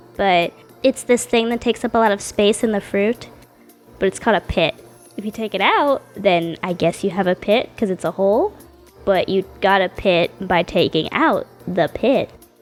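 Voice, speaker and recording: This woman talks at a medium pitch with ordinary pitch variation. Music plays in the background. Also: moderate pace. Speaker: artist. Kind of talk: casual voice-over narration. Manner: casual, chatty.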